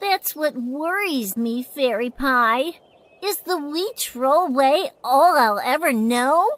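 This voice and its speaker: Very slowly, a put-on character voice that sounds female speaks at a high pitch. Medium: short film.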